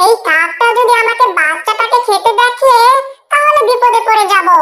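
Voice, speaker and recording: Cartoonish character voice from a woman, extremely high in pitch, very even in loudness and fairly slow in pace. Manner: crafty.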